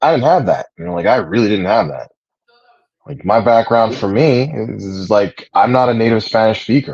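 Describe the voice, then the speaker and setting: A man's plain, everyday voice, medium in pitch, with ordinary pitch variation and a moderate pace. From United States, Puerto Rican family. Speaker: livestream host and religious practitioner. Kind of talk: casual chat. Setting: livestream.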